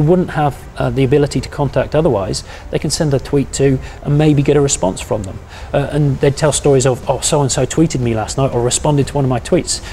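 A man talking at a very fast pace over light background noise. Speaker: university lecturer. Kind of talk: interview answer. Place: office. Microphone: lapel.

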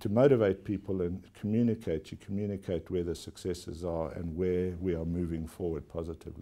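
A man with a South African accent, a very deep, low pitch and a dark, mellow tone, at a fairly quick pace with ordinary pitch variation. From South Africa (KwaZulu-Natal). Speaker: company chief executive. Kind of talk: formal TV interview. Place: office. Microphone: lapel.

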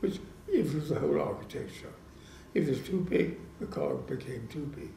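A man at a fairly slow pace, with light background noise and audible room echo. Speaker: engineer and designer. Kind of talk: interview answer. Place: home room. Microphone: handheld.

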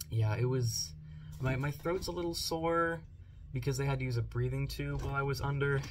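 Someone with a hoarse voice talks at a fairly quick pace. Music plays in the background. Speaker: vlogger. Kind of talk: casual vlog chat. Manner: slightly hoarse, post-surgery sore throat. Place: home room. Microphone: phone near.

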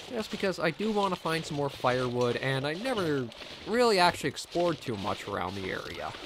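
Fairly high in pitch with very wide swings, a man talks at a fairly quick pace over noticeable background noise. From Canada. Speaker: gaming commentator. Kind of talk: let's play commentary. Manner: casual.

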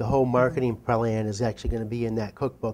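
This man speaks at a very fast pace in a dark, mellow tone. His intonation stays fairly even. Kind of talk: interview answer. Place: studio. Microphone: lapel.

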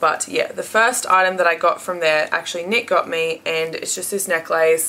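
At a moderate pace, a woman speaks with an Australian accent, her pitch medium and its variation ordinary. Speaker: beauty and haul vlogger. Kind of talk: casual haul video monologue. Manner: chatty with frequent filler words.

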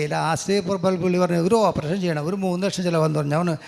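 The speaker is a man. His pitch is high. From Kerala, Angamaly. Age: 60s. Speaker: real estate agent, former alcoholic. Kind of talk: testimony.

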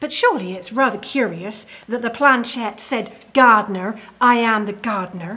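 Quiet and fairly slow, a woman speaks at a fairly high pitch with ordinary pitch variation. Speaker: historical character actor. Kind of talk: ghost story telling, period drama. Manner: hushed, grave Victorian tale-telling; formal, genteel. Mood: eerie, suspenseful storytelling. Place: home room.

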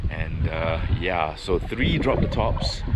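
A man speaks over loud background noise. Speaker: car vlogger. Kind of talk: casual vlog chat. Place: station. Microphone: phone near.

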